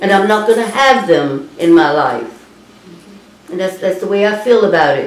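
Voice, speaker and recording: Middling speed from a woman, clear background noise behind her. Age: 80s+. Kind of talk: interview answer. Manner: angry.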